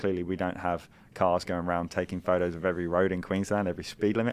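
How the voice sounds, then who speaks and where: Over a quiet background, a man with a very deep, low pitch speaks at a very fast pace with fairly even intonation. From UK. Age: 40s. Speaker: business founder, ex-army officer. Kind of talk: podcast interview. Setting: guest's office.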